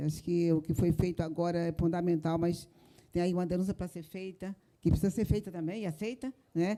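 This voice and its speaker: Speaking at a moderate pace, a woman has a fairly low pitch and fairly even intonation. Her tone is dark and mellow. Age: 70s. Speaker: victim's mother and activist. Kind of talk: public debate remarks. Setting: theater with audience.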